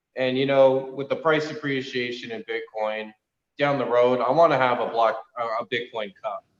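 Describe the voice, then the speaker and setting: With a normal speaking voice, a man talks at a moderate pace at a medium pitch with fairly even intonation. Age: 30s. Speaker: racing club founder. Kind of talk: casual chat.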